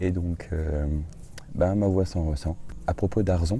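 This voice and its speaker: Very deep and low in pitch, a man talks at a fairly slow pace. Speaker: travel vlogger. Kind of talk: casual vlog narration. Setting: outdoors in a garden. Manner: hesitant, many fillers.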